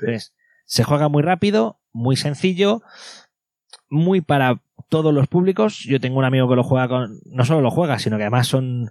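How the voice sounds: An ordinary speaking voice moves at a moderate pace with lively intonation and very even loudness, recorded with a dry, close sound and no echo. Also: man, medium pitch for a man.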